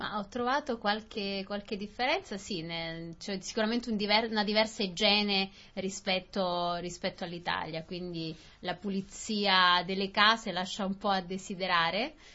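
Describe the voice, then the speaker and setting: Ordinary pitch variation from a woman talking at a moderate pace. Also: medium pitch for a woman. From southern Italy. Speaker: Italian newcomer in Australia. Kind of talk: casual conversation for language learners. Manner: halting, repetitive.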